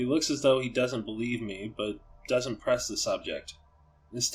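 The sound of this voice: The clip carries an unforced reading voice.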